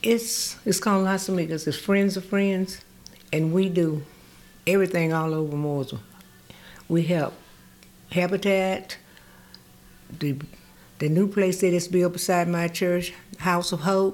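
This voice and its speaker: Fairly even intonation comes at a fairly slow pace, broken by long, frequent pauses. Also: woman, fairly low pitch for a woman. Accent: Southern US. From North Carolina, US South (rural area near Mooresville). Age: 80s. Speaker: community volunteer and retired nurse. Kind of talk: casual interview. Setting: studio.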